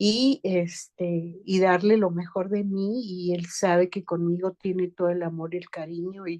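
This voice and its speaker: Dark, mellow female voice at a fairly slow pace, with fairly even intonation. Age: 60s. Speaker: family member of person in addiction treatment. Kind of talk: group session participation.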